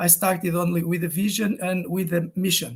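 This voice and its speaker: This man speaks with a Portuguese accent in a high pitch. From Portugal. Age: 50s. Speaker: game design teacher. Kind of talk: online talk. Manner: halting, many fillers and repetitions.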